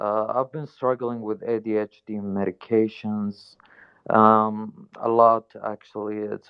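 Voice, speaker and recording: A man with a non-native accent and fairly low pitch, at a very slow pace, in a monotone, flat intonation. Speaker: audience participant. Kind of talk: testimony. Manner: halting.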